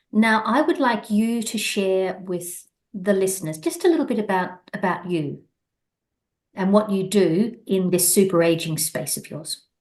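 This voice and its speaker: A woman with an Australian accent, somewhat breathy, at medium pitch and a fairly slow pace, with ordinary pitch variation. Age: 60s. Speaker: podcast host. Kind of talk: casual interview chat.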